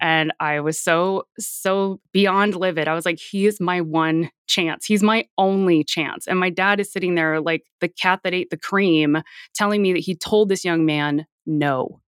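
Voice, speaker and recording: Recorded very clean against a silent background, a woman with an ordinary speaking voice and an American accent talks fairly slowly with fairly even intonation. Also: fairly low pitch for a woman. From Florida. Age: 40s. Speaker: cult survivor. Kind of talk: interview testimony.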